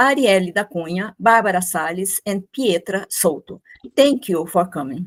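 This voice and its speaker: A woman with a Brazilian Portuguese accent speaks at medium pitch with lively intonation, in a dry, close sound with no echo on a very clean recording with a silent background. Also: moderate pace. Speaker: architect and professor. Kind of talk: academic presentation. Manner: formal.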